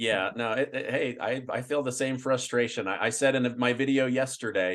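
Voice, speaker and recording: In a plain, everyday voice with an American accent, a man talks at a moderate pace and a medium pitch with fairly even intonation. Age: younger than 65. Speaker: financial YouTuber. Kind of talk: interview.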